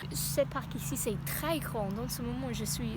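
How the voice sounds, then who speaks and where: A woman speaks with an English accent. Audible room echo and noticeable background noise fill the recording. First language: English (speaking French). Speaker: language learner vlogger. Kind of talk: vlog. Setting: outdoors in a park. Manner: halting, many hesitations.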